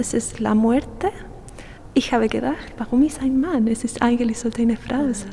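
A woman with a Chilean accent talks in a high pitch with ordinary pitch variation. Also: moderate pace. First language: Spanish (speaking German). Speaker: artist. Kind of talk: interview. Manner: halting.

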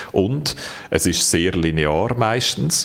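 A man talks with a Swiss accent. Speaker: tech journalist, podcast co-host. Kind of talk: casual chat.

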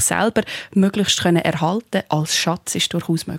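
A woman's ordinary speaking voice at a medium pitch, with ordinary pitch variation, a fairly quick pace and a dry, close sound with no echo. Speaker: philosopher and TV presenter. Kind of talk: radio panel discussion.

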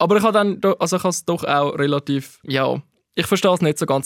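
A man with ordinary pitch variation, in a dry, close recording with no echo, very clean and with a silent background. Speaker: podcast host, film critic. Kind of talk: casual chat.

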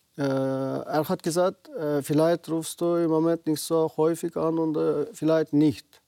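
Dry and close with no echo, a man with a Uyghur accent talks at a fairly high pitch with fairly even intonation. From Xinjiang, western China (Uyghur). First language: Uyghur (speaking German). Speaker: naturopath and community association president. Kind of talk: TV interview. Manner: halting.

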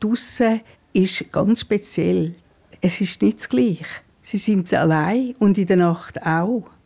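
This voice has a dark, mellow tone, a very slow pace, very even loudness and ordinary pitch variation. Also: woman. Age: 80s+. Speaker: care home resident. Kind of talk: interview.

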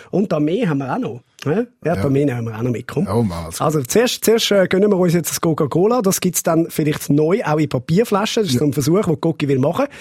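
Speaking very fast with hardly any pauses, a man with a Swiss accent and a fairly high voice swings very widely in pitch, the sound dry and close with no echo despite noticeable background noise. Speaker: podcast host. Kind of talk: casual chat podcast.

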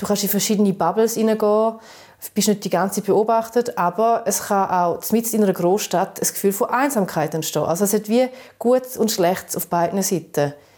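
A woman's unremarkable speaking voice at medium pitch, fairly quick in pace, with fairly even intonation. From eastern Switzerland, St. Gallen area, Balkan family roots. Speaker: podcast co-host. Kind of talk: casual chat.

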